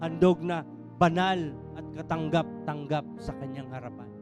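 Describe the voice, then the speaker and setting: Music is playing in the background. Over it, a man talks at a moderate speed. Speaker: church preacher. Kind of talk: sermon delivered to a congregation.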